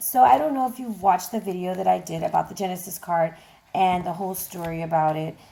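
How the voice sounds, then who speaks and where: A woman speaks in an unremarkable speaking voice. Her pitch is medium, with ordinary variation. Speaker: tarot reader. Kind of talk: tarot reading to camera. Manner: casual, chatty.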